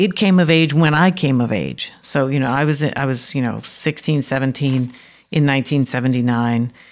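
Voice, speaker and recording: A woman with an American accent talks at a moderate pace. Her pitch is very deep and low, with ordinary pitch variation. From New York City (Harlem and the Bronx). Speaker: professor. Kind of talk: interview conversation. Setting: remote from home.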